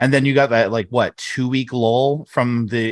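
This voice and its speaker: A man talks at a moderate pace and a medium pitch. The background is quiet. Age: 30s. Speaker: sports podcast co-host. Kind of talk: casual chat. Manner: animated.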